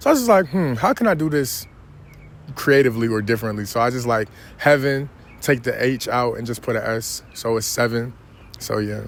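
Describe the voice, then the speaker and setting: Here is a man with a New York accent at a medium pitch. He talks at a fairly quick pace with ordinary pitch variation. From New York City (Queens). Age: 20s. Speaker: rapper. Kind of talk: interview. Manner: casual, with many fillers.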